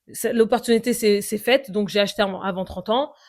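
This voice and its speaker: Ordinary pitch variation in a very clean recording against a silent background. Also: woman. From Paris suburbs, France. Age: 30s. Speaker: podcaster. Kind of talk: personal monologue podcast. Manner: halting, many fillers and repetitions.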